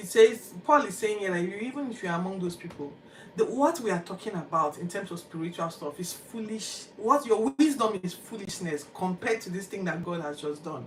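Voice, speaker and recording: With a Nigerian accent, a woman at medium pitch speaks at a fairly quick pace in an animated tone with lively intonation, amid noticeable background noise. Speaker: Bible podcast host. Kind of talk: Bible reading commentary.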